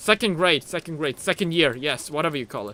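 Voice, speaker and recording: A man's fairly high, bright, sharp voice with a non-native accent. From Germany. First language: not English. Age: 20s. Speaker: gaming streamer. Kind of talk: live gameplay stream chat. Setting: live stream. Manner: animated.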